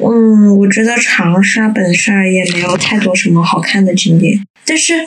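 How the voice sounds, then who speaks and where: Clear background noise accompanies a woman talking fairly slowly. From Changsha, Hunan. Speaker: guest, local resident. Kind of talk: casual chat.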